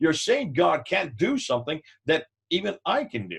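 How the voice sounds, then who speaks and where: Very wide pitch swings along with vocal fry. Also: man. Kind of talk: teaching talk with anecdote. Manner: fast; animated.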